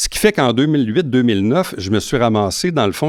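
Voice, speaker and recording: Recorded very cleanly against a silent background, with a dry, close sound and no echo, a man with a normal speaking voice talks at a medium pitch and fairly quick pace with lively intonation. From Quebec, Saint-Jean-sur-Richelieu. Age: 50s. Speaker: mayoral candidate, former broadcaster. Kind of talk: campaign debate interview. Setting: host's garage.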